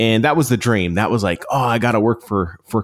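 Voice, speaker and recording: A man with a normal speaking voice talks at a fairly quick pace, his fairly low pitch moving with ordinary variation. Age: 40s. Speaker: podcast coach and former radio broadcaster. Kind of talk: casual interview.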